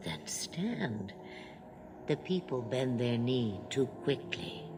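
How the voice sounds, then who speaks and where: A put-on character voice at a low-to-middle pitch, delivered at a very slow pace over loud background noise. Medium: video game. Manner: cryptic, slow, knowing.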